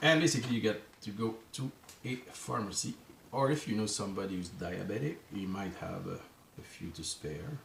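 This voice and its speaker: Speaking with a French Canadian accent, a man uses lively intonation at a fairly low pitch and a moderate pace. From Quebec. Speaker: journaling vlogger. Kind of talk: casual vlog talk to camera. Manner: halting, searching for words.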